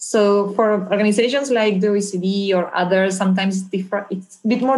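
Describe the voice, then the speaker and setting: The speaker has a Spanish accent and fairly even intonation. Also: woman. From Argentina. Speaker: anti-corruption policy specialist. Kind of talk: interview.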